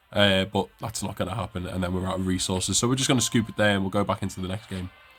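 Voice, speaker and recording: Very deep, low-pitched male speech at a very fast pace, fairly even intonation, noticeable background noise. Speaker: video game streamer. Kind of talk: gameplay commentary. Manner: fast-paced.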